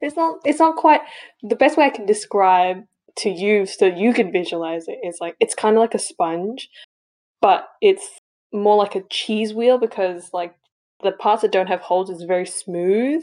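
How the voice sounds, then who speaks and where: In a dark, mellow tone at medium pitch, a woman speaks at a moderate pace with lively intonation over a quiet background. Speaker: podcast co-host. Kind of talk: casual chat.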